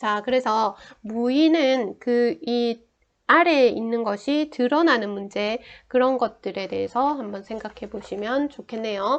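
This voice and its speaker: Very slow speech from a woman, fairly high in pitch and ordinary in pitch variation. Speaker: saju astrology teacher. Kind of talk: lecture.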